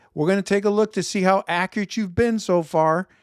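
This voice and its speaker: A man with a Chicago accent talks at a fairly quick pace with ordinary pitch variation. The sound is dry and close, with no echo. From Chicago, US Midwest. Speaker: investment show host. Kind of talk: solo market commentary video. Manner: conversational, some self-corrections.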